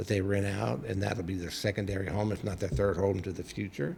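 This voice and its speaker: A man's fairly low voice with vocal fry and ordinary pitch variation. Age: 60s. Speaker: psychic medium and minister. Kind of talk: casual chat.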